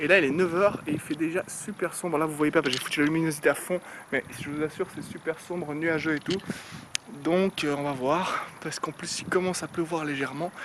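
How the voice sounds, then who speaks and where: A fairly high-pitched man moves at a fairly quick pace with fairly even intonation while noticeable background noise runs behind him. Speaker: fitness vlogger. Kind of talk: casual vlog talk. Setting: outdoors. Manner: fast.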